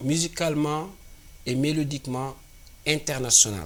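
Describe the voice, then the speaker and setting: A man with an African accent at a fairly slow pace. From Senegal. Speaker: singer-songwriter. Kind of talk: interview.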